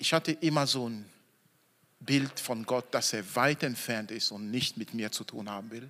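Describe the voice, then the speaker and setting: A man at medium pitch talks fairly slowly in an animated, bright and sharp tone, with ordinary pitch variation and big swings in loudness. The recording is very clean, with a silent background. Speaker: preacher. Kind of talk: sermon in church, evening Christmas service. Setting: church with congregation. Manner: animated, emphatic, stressing key words; slow deliberate phrasing, audience call-and-response.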